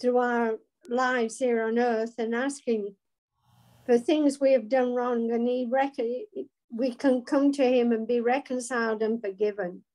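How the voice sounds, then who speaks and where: A dark, mellow tone at a fairly slow pace, with fairly even intonation, long, frequent pauses and a quiet background. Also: woman. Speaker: Bible study participant. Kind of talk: group discussion. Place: home room. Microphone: video call.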